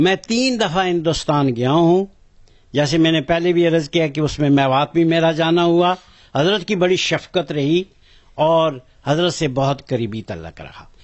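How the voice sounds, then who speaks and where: With ordinary pitch variation, a man talks in an ordinary speaking voice pitched fairly high. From Pakistan, Azad Kashmir (Mirpur). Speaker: religious movement elder. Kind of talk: interview testimony.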